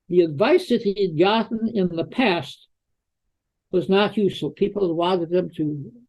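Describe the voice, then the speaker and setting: Speaking at a fairly slow pace, a man uses a high pitch and lively intonation. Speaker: psychologist. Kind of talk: interview.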